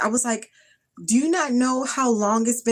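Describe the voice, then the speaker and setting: Speaking at a moderate pace, a woman uses a fairly high pitch and an animated tone. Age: 30s. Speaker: skincare vlogger. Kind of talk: casual livestream chat.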